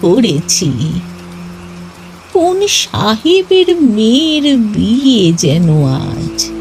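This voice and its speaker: Clear background noise runs under the recording. A woman performs a put-on character voice at a very slow pace. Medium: audio drama. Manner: warm, unhurried, matter-of-fact.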